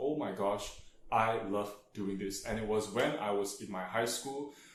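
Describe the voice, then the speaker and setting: Audible room echo surrounds a man's voice as he speaks. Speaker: tutor and vlogger. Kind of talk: casual vlog monologue. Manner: hesitant, many fillers.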